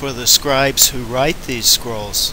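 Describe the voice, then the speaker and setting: A man speaks in a fairly high pitch with an American accent. Noticeable background noise runs behind him. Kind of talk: religious educational narration over slides.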